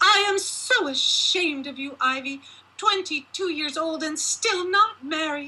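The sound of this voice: Putting on a character voice, a woman speaks fairly slowly at a high pitch, her tone bright and sharp, with ordinary pitch variation.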